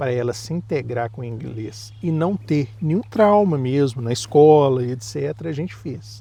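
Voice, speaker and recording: Noticeable background noise under a man's lively, medium-pitched voice, moving at a moderate pace. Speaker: parent vlogger. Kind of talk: casual chat.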